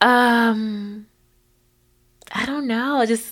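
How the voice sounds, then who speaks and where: Very slowly and with a warm tone, a woman speaks on a very clean recording with a silent background. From Kentucky, Hopkinsville. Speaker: literacy nonprofit executive director. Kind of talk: casual interview. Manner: warm, laughs often.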